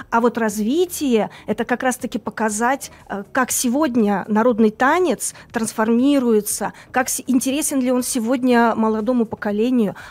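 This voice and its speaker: A fairly slow pace from a female speaker with a high pitch. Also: ordinary pitch variation. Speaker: cultural centre manager. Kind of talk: live studio interview. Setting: studio. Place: studio. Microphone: studio mic.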